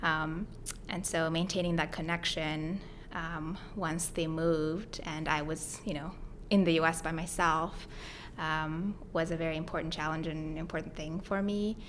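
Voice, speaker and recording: The speaker has a Mongolian accent and a monotone, flat intonation. Room echo is audible. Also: woman, fairly low pitch for a woman, moderate pace. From Mongolia, then Hawaii from age ten. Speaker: grad student and startup co-founder. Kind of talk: podcast interview. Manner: conversational with many fillers.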